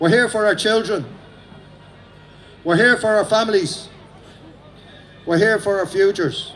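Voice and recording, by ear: A man with an Irish accent, high-pitched and fairly bright in tone, at a fairly slow pace with ordinary pitch variation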